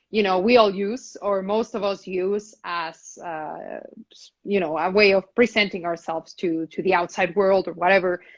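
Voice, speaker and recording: A woman with a medium-pitched voice talks at a moderate pace with hardly any pauses. Her intonation stays fairly even while her loudness swings widely. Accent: non-native. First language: not English. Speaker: actor and talk show host. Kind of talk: casual interview conversation. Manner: halting, many repetitions.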